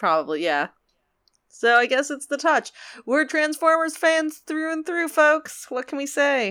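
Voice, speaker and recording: A woman speaks fairly slowly in a raised, projected voice with a bright, sharp tone, a high pitch, and ordinary pitch variation. The recording is very clean with a silent background. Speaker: podcast host. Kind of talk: casual chat.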